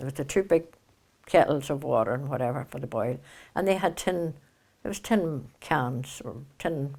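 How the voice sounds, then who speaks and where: In a very clean recording with a silent background, a woman speaks with a Northern Irish accent and a very deep, low pitch. Her moderate pace has long, frequent pauses and lively intonation. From Kilkeel, County Down, Northern Ireland. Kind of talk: oral history interview.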